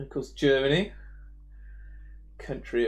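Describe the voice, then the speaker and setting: A man with an English accent, speaking at a fairly slow pace. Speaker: 3D animator streaming. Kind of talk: casual live stream chat. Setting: live online stream. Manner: hesitant, with fillers.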